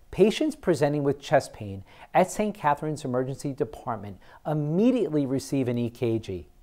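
A man with a dark, mellow tone and very wide pitch swings, at a moderate pace against a quiet background. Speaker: program host. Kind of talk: presenter script to camera. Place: studio. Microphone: lapel.

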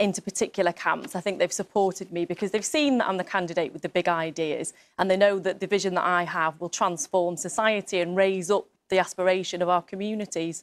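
A woman speaks at a very fast pace. Her intonation stays fairly even. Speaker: candidate. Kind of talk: interview answer. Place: studio. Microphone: lapel.

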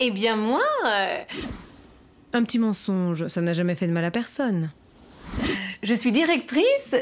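A woman with a fairly high voice speaks at a fairly slow pace, her pitch swinging very widely. She leaves long, frequent pauses over light background noise. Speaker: actress. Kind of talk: acting demo reel scenes. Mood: cheerful, animated, comedic. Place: home room.

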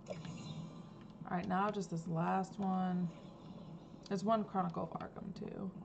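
At a very slow pace with long, frequent pauses, a woman speaks in a medium pitch over noticeable background noise. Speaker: gaming streamer. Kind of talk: casual gameplay commentary. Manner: animated.

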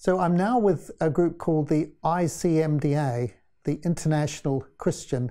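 A man speaks in a fairly high pitch with a dark, mellow tone against a quiet background. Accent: New Zealand. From New Zealand. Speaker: interview guest. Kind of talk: interview. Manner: halting. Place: studio. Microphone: lapel.

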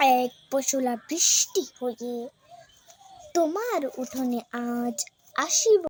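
A woman talks in a high pitch with lively intonation. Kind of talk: poetry reading. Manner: emotional.

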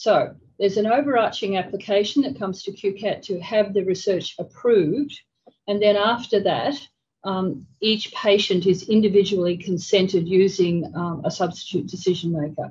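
A somewhat breathy woman at a moderate pace, with ordinary pitch variation. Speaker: conference presenter. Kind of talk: lecture. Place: meeting room.

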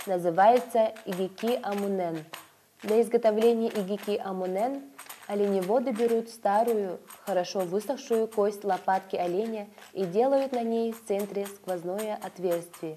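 Fairly slow delivery with fairly even intonation over noticeable background noise. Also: woman, medium pitch for a woman. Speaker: documentary narrator. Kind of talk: scripted narration. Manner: formal.

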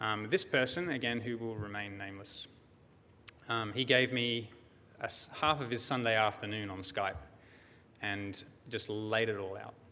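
With an Australian accent and a bright, sharp tone, a man speaks at a moderate pace with ordinary pitch variation and long, frequent pauses. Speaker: security researcher; conference presenter. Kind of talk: conference talk. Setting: stage with audience. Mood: storytelling, mildly wry. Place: hall. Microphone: podium.

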